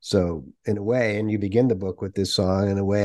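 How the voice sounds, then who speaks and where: Over a quiet background, a man speaks at a moderate pace in a fairly low pitch. His tone is dark and mellow, and his intonation is monotone and flat. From New England. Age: 60s. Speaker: podcast host. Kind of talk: interview. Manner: halting.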